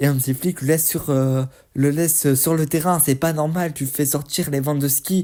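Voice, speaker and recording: A man speaks at a moderate pace in a fairly high, somewhat breathy voice. His tone is dark and mellow, his intonation fairly even. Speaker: football YouTuber. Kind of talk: match debrief commentary.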